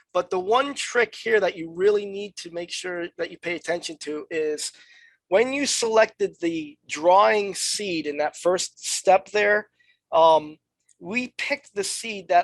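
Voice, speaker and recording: A woman's normal speaking voice at medium pitch, with ordinary pitch variation, big swings in loudness and a fairly slow pace, in a dry, close sound with no echo. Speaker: software trainer. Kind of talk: tutorial. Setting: webinar.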